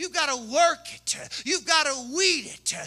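Against a quiet background, a man with a Southern US accent talks at a fairly slow pace in a raised, projected voice, his pitch extremely high and his tone animated. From Kentucky. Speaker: pastor. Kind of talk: sermon. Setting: church. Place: church. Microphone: handheld.

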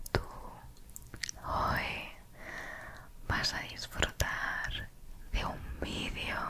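A soft-spoken woman whispers at a very slow pace. Light background noise is present. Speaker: ASMR creator. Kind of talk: soft ASMR chat to viewer. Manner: soft close-mic ASMR whisper. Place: home room. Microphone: studio mic.

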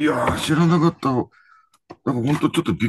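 The speech moves at a fairly quick pace with vocal fry, in a dry sound with no echo over noticeable background noise. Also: man. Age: 70s. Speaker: professional angler. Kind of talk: casual chat.

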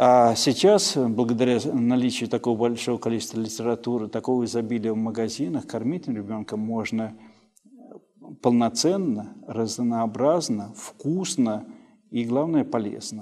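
Against a quiet background, a man speaks fairly slowly. His tone is dark and mellow, with ordinary pitch variation. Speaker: pediatrician. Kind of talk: expert advice interview. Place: office.

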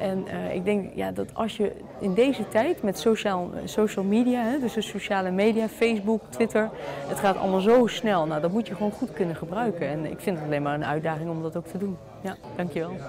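Crowd noise fills the background while a woman talks. She keeps a fairly quick pace with ordinary pitch variation. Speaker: local politician, alderman. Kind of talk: press interview. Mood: upbeat, confident. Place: meeting room.

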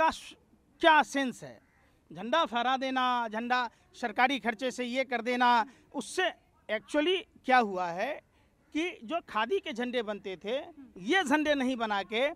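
Speaking at a fairly slow pace with long, frequent pauses, a man uses an extremely high pitch, lively intonation and a bright, sharp tone, with a dry sound and no echo. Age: 40s. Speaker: political commentator. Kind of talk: political interview. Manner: animated. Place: garden. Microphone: handheld.

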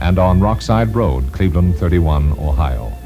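The speaker keeps a moderate pace over clear music in the background. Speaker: radio announcer. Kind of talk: radio station sign-off announcement. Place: studio. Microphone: old recording.

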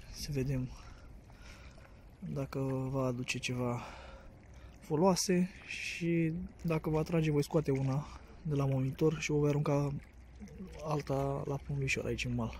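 Over light background noise, a man speaks at a fairly slow pace with long, frequent pauses and a dry sound with no echo. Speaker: angler vlogger. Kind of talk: casual vlog chat, tutorial. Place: waterside. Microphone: phone near.

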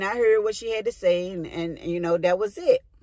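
The dry, echo-free recording of a woman has a quiet background. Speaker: vlogger. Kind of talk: casual vlog chat. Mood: reflective, personal storytelling. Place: car. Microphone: phone near.

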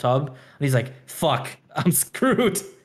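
Animated and somewhat breathy, a man speaks at a fairly high pitch. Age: 20s. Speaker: anime podcast co-host. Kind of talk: casual chat.

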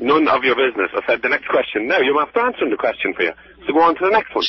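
Very fast and very even in loudness, a man with an Irish accent speaks in a dry sound with no echo over light background noise. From Ireland. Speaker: prank call target. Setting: phone. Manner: irritable, curt. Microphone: phone line.

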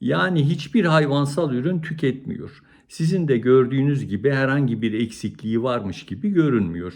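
Speaking at a fairly slow pace, a man uses a fairly high pitch that makes very wide swings. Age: 60s. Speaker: cardiologist. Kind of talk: educational talk to camera.

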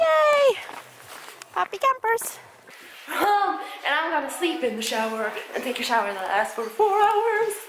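A woman's extremely high, fairly bright voice with big pitch swings at a fairly slow pace.

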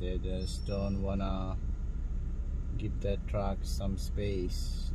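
A man talks at a very slow pace. The sound is dry with no echo, though there is noticeable background noise. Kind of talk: casual driving commentary. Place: car. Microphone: phone near.

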